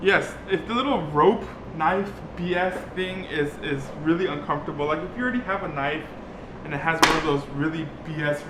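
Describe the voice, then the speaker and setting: With audible room echo and noticeable background noise, a man speaks at a fairly high pitch with ordinary pitch variation. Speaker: DIY vlogger. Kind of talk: casual tutorial vlog. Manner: halting, filler-heavy.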